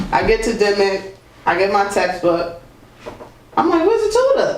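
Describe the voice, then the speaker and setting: In an American accent, a man speaks with an animated tone at a moderate pace and very even loudness, amid noticeable background noise and audible room echo. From Boston. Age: 30s. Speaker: musician. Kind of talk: interview. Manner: casual, animated.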